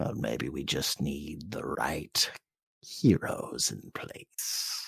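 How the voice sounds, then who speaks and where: Whispering in a put-on character voice, a man speaks at a very slow pace. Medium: actual play. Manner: smooth, musing.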